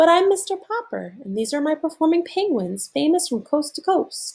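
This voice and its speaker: A woman's squeaky, put-on character voice, extremely high in pitch, at a moderate pace. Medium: read story. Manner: dazed, earnest.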